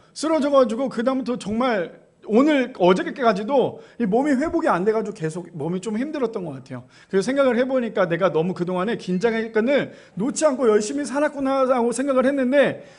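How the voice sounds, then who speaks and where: A man's extremely high pitch with lively intonation at a fairly quick pace, plus audible room echo. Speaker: pastor. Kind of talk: sermon. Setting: church.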